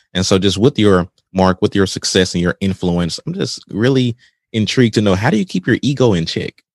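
With a plain, everyday voice, a man with fairly low pitch and ordinary pitch variation talks at a fairly quick pace in a dry, close sound with no echo. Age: 30s. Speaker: podcast host. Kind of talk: casual interview chat.

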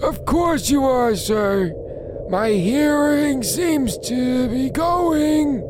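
Someone does a put-on character voice at a very slow pace over loud background noise. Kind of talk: deferential, addressing a superior.

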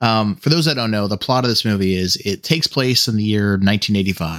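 A man with an ordinary speaking voice at medium pitch talks at a fairly quick pace in a very clean recording with a silent background. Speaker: lead podcast host. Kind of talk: casual chat.

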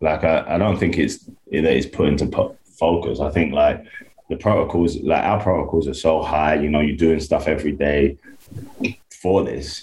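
A man in a London accent speaks at a moderate pace with a very deep, low pitch and fairly even intonation, over noticeable background noise. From London, England. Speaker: American football coach. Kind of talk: interview. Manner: halting, filler-heavy.

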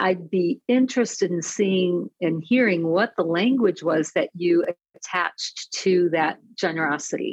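A woman with an American accent speaks in a normal speaking voice, fairly low in pitch, at a fairly slow pace with hardly any pauses. Her loudness stays very even and her pitch varies in an ordinary way, with a dry, close sound and no echo. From Detroit area. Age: 50s. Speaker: personality assessment coach. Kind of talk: casual chat.

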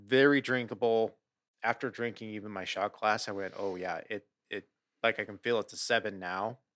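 A man with an American accent and an ordinary speaking voice talks at a moderate pace with a fairly low pitch, fairly even intonation and big swings in loudness. The very clean recording has a silent background and a dry, close sound with no echo. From US Pacific Northwest. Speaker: beer podcast co-host. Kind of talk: casual chat.

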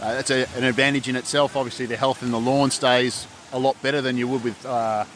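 Over noticeable background noise, a man speaks fairly quickly at a medium pitch with fairly even intonation. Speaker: lawn equipment company rep.

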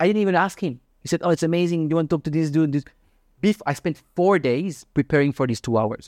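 Big swings in loudness from a man with a Swiss accent and a fairly high pitch, at a fairly quick pace with ordinary pitch variation and a dry, close sound without echo. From Switzerland. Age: 30s. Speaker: crypto podcaster and investor. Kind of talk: casual interview chat. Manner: halting, non-native English, casual.

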